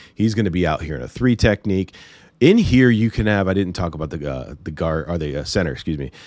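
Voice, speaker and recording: Over a very clean recording with a silent background, a man with a very deep, low pitch and vocal fry speaks at a fairly quick pace with lively intonation. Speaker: football film breakdown commentator. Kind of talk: tutorial. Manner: casual, some stammering.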